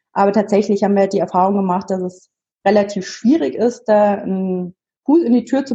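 In a somewhat breathy, dark and mellow voice, a woman talks at a moderate pace with fairly even intonation. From Munich, Bavaria. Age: 30s. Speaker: double amputee sharing her story. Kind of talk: interview.

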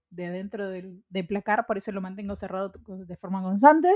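A woman is speaking. Her pitch is medium. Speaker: podcast co-host. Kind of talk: casual chat. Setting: studio.

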